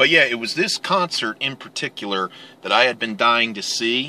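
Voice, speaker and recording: The recording sounds dry with no echo while a man talks at a moderate pace. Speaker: vlogger. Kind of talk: casual vlog chat. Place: car.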